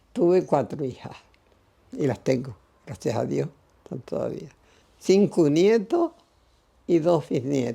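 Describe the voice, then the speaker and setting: A woman speaks very slowly in a very deep, low voice with a dark, mellow tone and vocal fry. Her pitch swings very widely, and her pauses are long and frequent. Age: 80s+. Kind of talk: interview answer.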